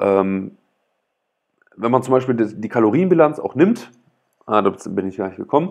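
A man's voice, moving at a moderate pace, is heard with a quiet background. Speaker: author reading own book on livestream. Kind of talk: reading aloud with commentary. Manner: hesitant, many fillers; loud. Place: home room. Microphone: earbuds.

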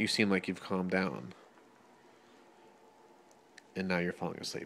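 Light background noise sits under a man whose very deep, low voice carries vocal fry as he speaks at a moderate pace. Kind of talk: playful narration to baby. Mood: gentle, amused. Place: home room. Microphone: phone near.

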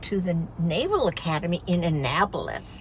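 Noticeable background noise sits behind a woman's voice, which has a dry sound with no echo. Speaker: vlogger. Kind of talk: casual vlog chat. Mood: proud, cheerful. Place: car. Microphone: phone near.

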